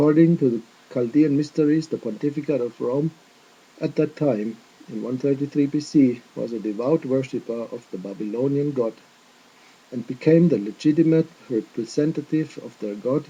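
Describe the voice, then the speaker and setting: Moderate pace, with a non-native accent. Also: man, fairly high pitch for a man, ordinary pitch variation. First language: not English. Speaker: religious video teacher. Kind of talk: casual chat; lecture. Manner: careful non-native phrasing.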